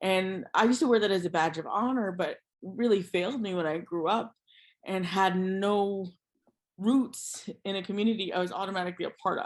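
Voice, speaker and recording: A woman with an American accent and a plain, everyday voice, medium pitched with ordinary pitch variation, at a fairly quick pace over a quiet background. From USA. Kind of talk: interview conversation.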